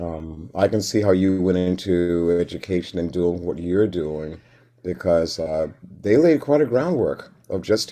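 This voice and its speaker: A man with a very deep, low pitch and a dark, mellow tone talks at a fairly slow pace with ordinary pitch variation. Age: 60s. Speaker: retired kindergarten teacher and musician. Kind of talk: casual interview.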